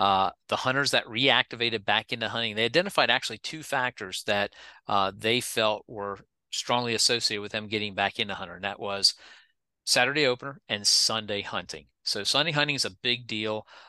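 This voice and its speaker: A man's medium-pitched voice with a bright, sharp tone, fairly quick, with ordinary pitch variation, dry and close with no echo, over a quiet background. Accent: American. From Pennsylvania. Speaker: state wildlife agency director. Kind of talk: interview.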